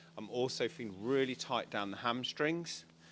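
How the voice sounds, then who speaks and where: The pace stays moderate. Intonation rises and falls in a lively way. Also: man. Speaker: animal communicator. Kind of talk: consultation session. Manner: halting.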